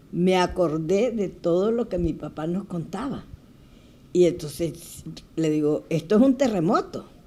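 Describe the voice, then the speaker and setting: Her pitch fairly low and her tone dark and mellow, a woman speaks at a fairly slow pace with lively intonation. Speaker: Red Cross volunteer, earthquake survivor. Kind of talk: testimony in TV interview.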